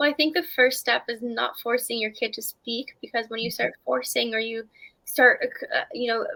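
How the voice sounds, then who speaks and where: Someone with a Canadian accent speaks at a fairly quick pace. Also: woman. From Canada. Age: 20s. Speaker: author and mental health activist. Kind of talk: interview answer.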